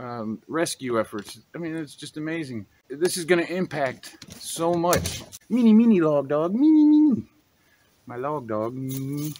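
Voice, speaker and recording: Over light background noise, a man with a fairly high pitch speaks at a fairly slow pace with lively intonation. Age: 40s. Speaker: YouTuber and drone hobbyist; YouTuber. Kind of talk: unscripted commentary video. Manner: animated. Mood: frustrated, concerned. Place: forest.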